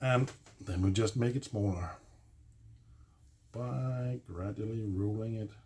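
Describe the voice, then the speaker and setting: A man speaks very slowly with a non-native accent, his pitch fairly low. His voice is somewhat breathy, with ordinary pitch variation. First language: not English. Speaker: DIY video maker. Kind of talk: tutorial. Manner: halting, many fillers; casual.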